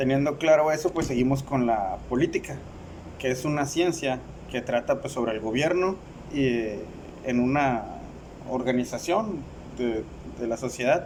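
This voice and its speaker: A man's fairly slow delivery with ordinary pitch variation. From Mexicali, Baja California, Mexico. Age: 30s. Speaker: university student. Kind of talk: class presentation. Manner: halting, with fillers and repetitions.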